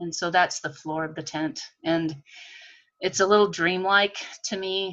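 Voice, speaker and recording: A woman speaks at a fairly slow pace in an unremarkable speaking voice. Her pitch is medium and varies in an ordinary way. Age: 50s. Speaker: textile artist. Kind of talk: artist talk presentation. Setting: video call.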